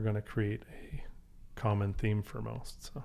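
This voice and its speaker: A man talks at a moderate pace in a Canadian accent, his pitch fairly low. It is a plain, everyday voice. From Canada, Calgary. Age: 50s. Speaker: restaurant group partner. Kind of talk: casual chat.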